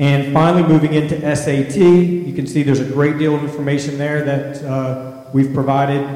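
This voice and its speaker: Against noticeable background noise, a man with a fairly high voice talks at a moderate pace in a monotone, flat intonation. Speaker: school district assessment administrator. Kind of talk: presentation. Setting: board meeting.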